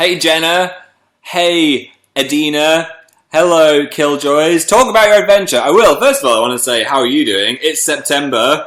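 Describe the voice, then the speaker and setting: In an English accent, a man talks at a moderate pace with fairly high pitch, a bright, sharp tone and lively intonation. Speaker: live streamer. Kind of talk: casual chat. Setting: live stream.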